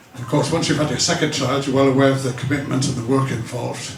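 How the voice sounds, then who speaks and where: A man speaks at a fairly high pitch with monotone, flat intonation. There is noticeable background noise and audible room echo. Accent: British. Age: 60s. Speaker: stand-up comedian. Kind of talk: stand-up.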